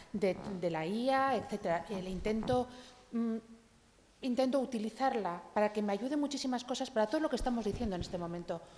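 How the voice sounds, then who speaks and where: At a fairly quick pace, a woman with a fairly high pitch and ordinary pitch variation talks in an unremarkable speaking voice. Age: 60s. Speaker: audience member. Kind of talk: panel discussion.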